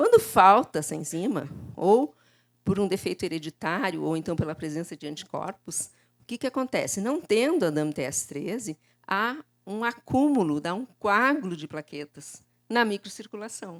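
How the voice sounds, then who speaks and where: Over a silent background in a very clean recording, a woman talks at a moderate pace and a medium pitch, her loudness swinging widely and her pitch swinging very widely, with a dry, close sound and no echo. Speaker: lecturer in laboratory hematology. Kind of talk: conference lecture. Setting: conference stage with audience.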